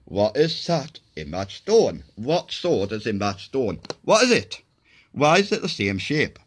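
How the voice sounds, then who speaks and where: Very wide pitch swings and vocal fry mark this man's speech, which moves at a fairly slow pace. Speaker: video blogger. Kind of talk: casual monologue explaining theories; casual vlog explanation. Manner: rambling, hesitant with fillers. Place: home room. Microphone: phone near.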